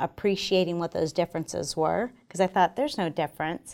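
On a very clean recording with a silent background, a woman speaks at a medium pitch with a normal speaking voice and ordinary pitch variation. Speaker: army general. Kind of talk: interview. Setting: studio.

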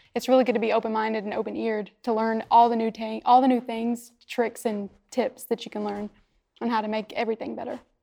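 Over a quiet background, a woman with a fairly high pitch and a dark, mellow tone talks at a very fast pace in a monotone, flat intonation. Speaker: young airman, medic. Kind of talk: interview answers.

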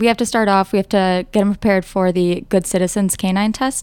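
A woman speaks at a fairly quick pace and medium pitch in an unremarkable speaking voice. Her intonation stays fairly even. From northern Wisconsin, US. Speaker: air national guard boom operator. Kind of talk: interview.

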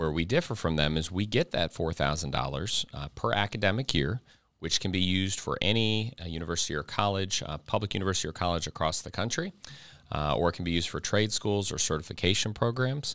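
Someone with an American accent talks at a very fast pace with ordinary pitch variation, in a very clean recording with a silent background. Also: man, very deep, low pitch for a man. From Ohio. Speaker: army recruiter. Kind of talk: interview.

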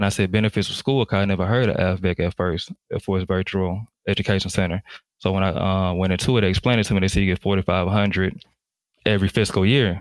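A man with a Southern US accent talks at a very fast pace in a very deep, low voice with fairly even intonation, the sound dry and close with no echo and the recording very clean with a silent background. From US South, Jackson, Mississippi. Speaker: Air Force firefighter. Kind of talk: interview.

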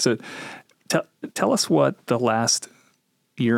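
A man of medium pitch with an Upper Midwest accent. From Minnesota. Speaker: military chaplain, podcast host. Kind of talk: interview. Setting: studio.

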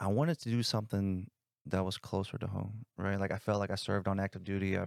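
A man with an American accent talks at a fairly quick pace in an unremarkable speaking voice. The recording is very clean with a silent background and a dry, close sound with no echo. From South Bend, Indiana. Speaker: army recruiter. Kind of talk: casual interview.

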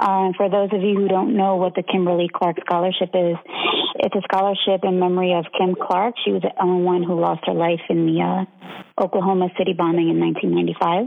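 A woman with an American accent at medium pitch and a fairly quick pace, monotone and flat, with very even loudness over noticeable background noise. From Philadelphia, Pennsylvania. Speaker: navy legalman, chief. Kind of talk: casual interview.

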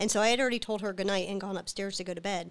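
A woman speaks at medium pitch with fairly even intonation. It is a plain, everyday voice. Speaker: military officer. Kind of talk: testimony.

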